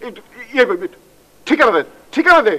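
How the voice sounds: Using a put-on character voice, a man speaks at a moderate pace in an extremely high pitch with a bright, sharp tone and big pitch swings.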